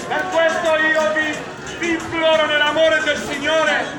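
With clear crowd noise and clear music in the background, a man speaks fairly slowly at an extremely high pitch in a monotone, flat way.

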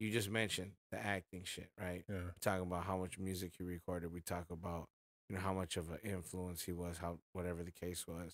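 Very deep, low-pitched male voice with an American accent, monotone and flat in intonation at a fairly quick pace, dry with no echo against a quiet background. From Inland Empire, Southern California; Southern California. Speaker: rapper; podcast host or guest. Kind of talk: casual chat. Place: home room. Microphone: studio mic.

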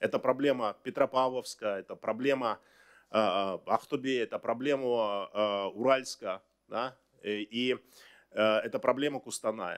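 A man's pitch varies in an ordinary way, and the background stays quiet. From Kazakhstan. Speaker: government minister. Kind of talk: press briefing answers. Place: hall. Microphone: podium.

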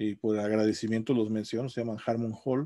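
In a quiet background, a man with a dark, mellow tone talks at a fairly quick pace with fairly even intonation. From Mexico. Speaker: university professor. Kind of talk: casual video blog monologue. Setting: home office. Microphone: webcam.

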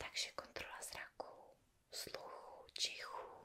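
This is a woman whispering. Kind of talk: soft-spoken roleplay medical exam. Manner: soft, close ASMR doctor voice.

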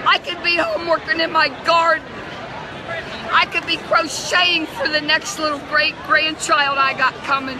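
Against noticeable background noise, a woman speaks in a raised, projected voice at an extremely high pitch. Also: fairly even intonation, moderate pace. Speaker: convention delegate. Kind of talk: impassioned interview answer. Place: hall. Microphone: phone near.

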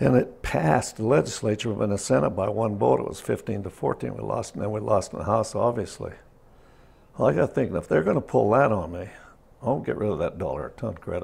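Speaking with an American accent, a man talks fairly quickly at a fairly low pitch with vocal fry. His intonation is lively. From Carbon County, Utah. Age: 70s. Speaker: former miner and state legislator. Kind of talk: oral history interview answer. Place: home room. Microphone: lapel.

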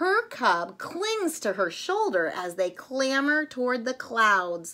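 A woman's fairly high voice with a bright, sharp tone at a slow pace

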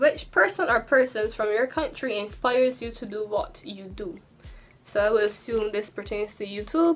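Over faint background music, a woman speaks at a fairly high pitch and a moderate pace, with ordinary pitch variation and big swings in loudness. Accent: Barbadian. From Barbados. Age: 20s. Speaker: YouTuber. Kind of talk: casual talk to camera. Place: home room.

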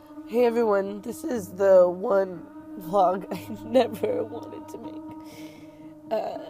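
Over faint background music, a woman speaks at a very slow pace with big swings in loudness, in a dry sound without echo. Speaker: vlogger. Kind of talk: casual vlog chat. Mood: sad, upset. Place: car. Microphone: phone near.

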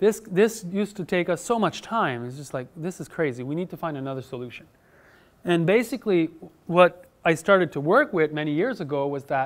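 Speaking at a fairly quick pace, a man lets his loudness swing in big jumps. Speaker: conference speaker. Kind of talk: lecture. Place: hall. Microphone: lapel.

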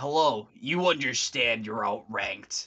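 A man's put-on character voice in a medium pitch, with lively intonation at a fairly slow pace. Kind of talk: formal, stiff. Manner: authoritative, on the nose.

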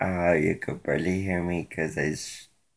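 A man talks with a very deep, low pitch. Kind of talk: casual talk to camera. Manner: low-energy.

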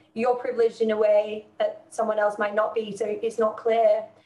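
Audible room echo surrounds a woman's voice. She speaks at a moderate pace with a fairly high pitch. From northern England. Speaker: gymnastics coach and PE teacher; gymnastics coach, PE teacher. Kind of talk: interview. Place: office. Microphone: video call.

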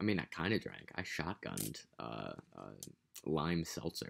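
Speaking at a fairly slow pace, a man with a very deep, low pitch uses lively intonation and vocal fry. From United States. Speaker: vlogger. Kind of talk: casual vlog monologue. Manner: casual, rambling, profane. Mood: amused, joking. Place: home room. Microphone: webcam.

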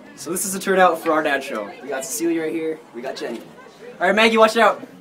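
Crowd noise and audible room echo surround a man talking at a very fast pace. His high pitch, lively intonation and big swings in loudness stand out. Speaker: vlogger. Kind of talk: casual vlog. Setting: at home.

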